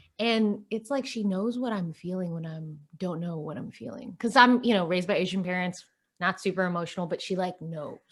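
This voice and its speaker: Her loudness swings widely as a woman speaks in an unremarkable speaking voice at a medium pitch with ordinary pitch variation. The recording is very clean, with a silent background. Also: fairly quick pace. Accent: American. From Dallas area, Texas. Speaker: podcast co-host, financial advisor. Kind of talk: casual chat.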